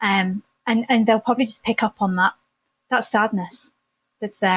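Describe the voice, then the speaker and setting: A woman at medium pitch with an English accent, fairly quick and fairly even in intonation. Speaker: therapist, former nurse. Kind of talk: podcast interview.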